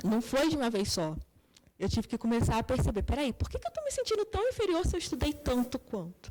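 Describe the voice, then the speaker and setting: A woman talks softly at a fairly quick pace. Her pitch swings very widely. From Brazil, Petrópolis (Rio de Janeiro state). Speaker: psychologist. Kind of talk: interview. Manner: soft-spoken.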